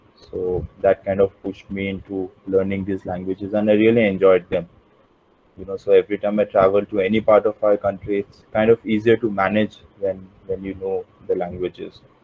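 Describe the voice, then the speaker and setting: Flat and monotone, a man speaks at a fairly low pitch. His pace is fairly quick. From India, Pondicherry. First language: Hindi and Punjabi. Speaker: adventure travel company founder. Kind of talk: guest talk.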